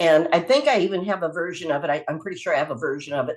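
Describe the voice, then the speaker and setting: A woman speaks at a very fast pace in a fairly low pitch. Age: 70s. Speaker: hypnotherapy instructor. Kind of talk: webinar talk. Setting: video call. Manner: casual.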